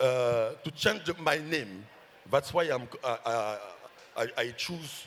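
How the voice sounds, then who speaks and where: With a French accent, a man talks at a very slow pace in a medium pitch, using lively intonation and long, frequent pauses. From Ivory Coast. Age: 50s. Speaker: novelist. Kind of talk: festival panel discussion. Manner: halting.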